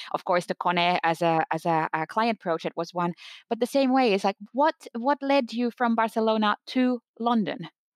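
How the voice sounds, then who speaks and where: A woman with a normal speaking voice talks at a moderate pace with lively intonation and a fairly high pitch. The sound is dry and close with no echo, and her loudness stays very even. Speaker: podcast host.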